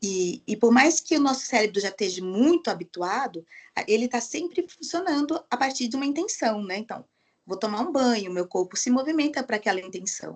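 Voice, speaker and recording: A woman talks at a fairly quick pace. Her fairly high voice carries lively intonation. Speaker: occupational therapist giving online training. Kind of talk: lecture. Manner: fast.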